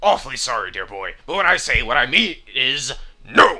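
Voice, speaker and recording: Doing a put-on character voice, a man pitches fairly high, with very wide pitch swings and big swings in loudness. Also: moderate pace. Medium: game stream. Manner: stuffy, formal.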